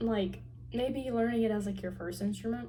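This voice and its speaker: With an American accent, a woman speaks at a fairly low pitch with very wide swings, and audible room echo surrounds her voice. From Tennessee. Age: young. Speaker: university student vlogger. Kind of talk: casual vlog. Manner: casual, many filler words.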